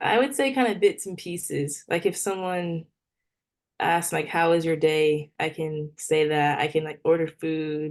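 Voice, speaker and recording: A woman's plain, everyday voice at a fairly low pitch, with ordinary pitch variation and a fairly slow pace. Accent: American. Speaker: professional volleyball player. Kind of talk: casual interview.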